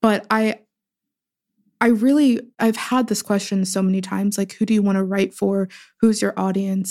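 A woman with an American accent speaks in an unremarkable speaking voice at medium pitch and a moderate pace. Her intonation is fairly even, on a very clean recording with a silent background. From US, Pittsburgh. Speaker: writer and poet. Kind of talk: casual interview conversation.

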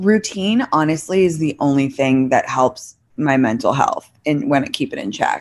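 A woman with an American accent speaks fairly slowly in a very deep, low voice. The recording is very clean, with a silent background. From London, England (American parents). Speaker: social media creator. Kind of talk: casual interview chat.

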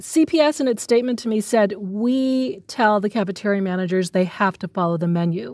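On a very clean recording with a silent background, a woman with a normal speaking voice and an American accent talks at a fairly quick pace and medium pitch, with lively intonation and hardly any pauses. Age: 40s. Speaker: journalist. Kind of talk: interview.

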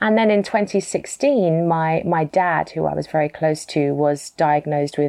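A woman with a British accent at a fairly slow pace, with hardly any pauses and very even loudness. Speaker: author and entrepreneur. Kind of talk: interview.

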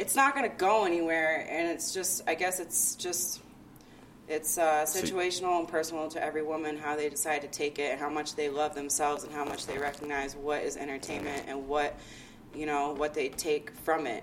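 With noticeable background noise behind her, a woman talks at a fairly quick pace in a very deep, low voice with fairly even intonation. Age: 30s. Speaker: events marketing consultant and hip hop blogger. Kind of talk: casual chat.

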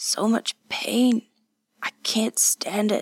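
A woman whispers in a raspy, shaky put-on character voice. The sound is dry and close, with no echo. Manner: pained, anguished.

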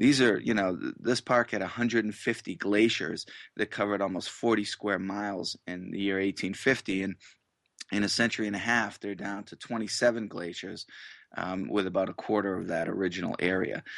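A man with a fairly low pitch talks at a fairly quick pace with fairly even intonation, the sound dry and close with no echo over a quiet background. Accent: New England. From Massachusetts. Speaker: author and magazine editor. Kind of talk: radio interview. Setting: phone interview from home.

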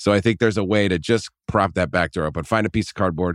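Recorded with a dry, close sound and no echo, a man speaks at a fairly quick pace with vocal fry. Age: 20s. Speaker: podcast producer. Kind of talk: casual chat.

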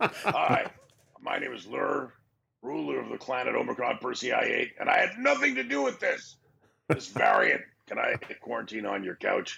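Raspy put-on character voice from a man, at a moderate pace with long, frequent pauses. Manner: comic.

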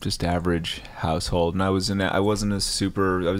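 With an American accent, a man talks at a fairly quick pace in a low pitch with little pitch movement.

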